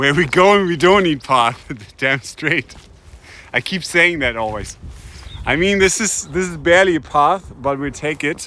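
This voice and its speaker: A man speaks fairly slowly with a German accent. His voice is fairly high-pitched, with a bright, sharp tone. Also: ordinary pitch variation. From Germany, Hamburg. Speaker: streamer. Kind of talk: live stream commentary while hiking. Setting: outdoors, walking.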